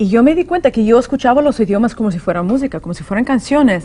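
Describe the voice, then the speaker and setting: Lively intonation marks the fairly high pitch of a woman's voice. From California, US (born in Soviet Union). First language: Russian (speaking Spanish). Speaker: author and language teacher. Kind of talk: interview.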